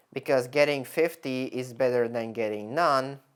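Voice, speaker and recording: The speaker has a non-native accent and a fairly slow pace. The recording is very clean, with a silent background. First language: not English. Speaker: content creator. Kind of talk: screen-share tutorial. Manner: halting, many self-corrections; casual.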